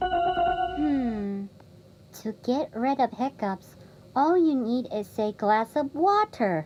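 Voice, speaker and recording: A female-sounding voice speaks at a very slow pace, pitched high. It is a put-on character voice. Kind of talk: audio drama dialogue.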